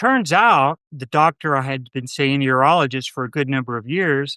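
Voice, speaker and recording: A man speaks in a fairly high voice with a bright, sharp tone and ordinary pitch variation at a fairly slow pace. The sound is dry and close with no echo, over a quiet background. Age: 60s. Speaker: prostate cancer survivor and author. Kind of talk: podcast interview. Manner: animated.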